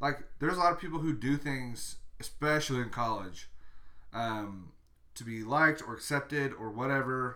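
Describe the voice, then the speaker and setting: The pace is moderate, with ordinary pitch variation. It is a plain, everyday voice. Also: man. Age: 20s. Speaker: podcast co-host. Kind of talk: casual chat.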